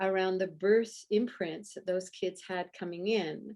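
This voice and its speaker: A woman's plain, everyday voice at a fairly slow pace on a very clean recording with a silent background. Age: 60s. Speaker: breathwork practitioner working with birth trauma. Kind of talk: interview.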